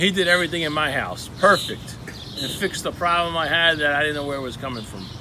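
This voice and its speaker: A man's fairly high, very fast voice with a New Jersey accent, ordinary pitch variation and noticeable background noise. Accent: Elizabeth, New Jersey. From New Jersey (Elizabeth). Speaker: local marketing show host. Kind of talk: casual business show talk. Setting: studio, seated with guest.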